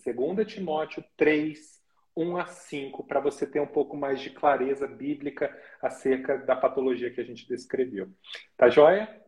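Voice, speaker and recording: At a fairly slow pace, the voice sounds somewhat breathy, with ordinary pitch variation and big swings in loudness. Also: man, fairly high pitch for a man. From Brazil, interior of São Paulo state. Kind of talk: casual live interview chat.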